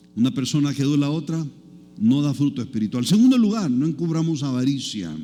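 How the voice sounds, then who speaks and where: Over music in the background and audible room echo, a man with a fairly high pitch uses lively intonation at a moderate pace. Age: 60s. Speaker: pastor. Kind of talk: sermon. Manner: conversational, engaging the audience.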